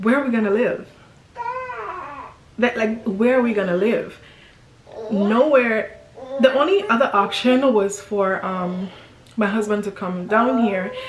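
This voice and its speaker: A woman speaks in a fairly high voice with fairly even intonation, leaving long, frequent pauses. Noticeable background noise and audible room echo surround her. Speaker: family vlogger. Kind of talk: casual storytime vlog. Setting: at home, filming by window light. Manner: halting, many fillers.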